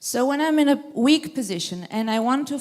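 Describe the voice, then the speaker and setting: A woman with a non-native accent at a moderate pace, on a very clean recording with a silent background. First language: not English. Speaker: audience member asking a question. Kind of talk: audience question at a lecture Q&A. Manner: halting.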